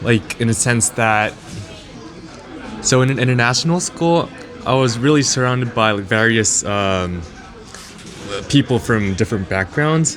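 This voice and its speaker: Male speech with a Japanese accent and long, frequent pauses, music in the background. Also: medium pitch for a man, ordinary pitch variation, moderate pace. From Japan and the Netherlands. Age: 20s. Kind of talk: casual interview. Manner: halting, many fillers.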